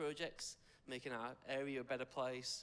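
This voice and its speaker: At a moderate pace, a man speaks in an English accent at a medium pitch. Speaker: youth worker. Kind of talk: public speech. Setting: supporters' lunch audience.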